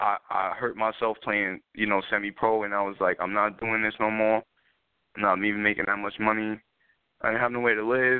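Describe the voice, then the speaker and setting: In a New York accent, a man speaks fairly quickly at a fairly low pitch. His intonation is monotone and flat. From New York City, South Bronx. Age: 20s. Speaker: spoken word artist and rapper. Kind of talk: interview.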